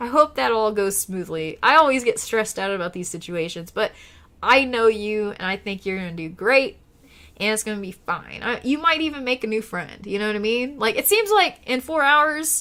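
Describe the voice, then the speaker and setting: On a very clean recording with a silent background, a woman with a fairly high pitch and a bright, sharp tone speaks at a moderate pace, her intonation lively and her loudness swinging widely. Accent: Oklahoma. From Oklahoma, US. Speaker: live streamer. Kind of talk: casual live stream chat. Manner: casual, chatty.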